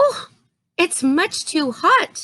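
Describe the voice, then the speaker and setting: A squeaky put-on character voice leaps through very wide pitch swings. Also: woman, extremely high pitch for a woman. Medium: read story.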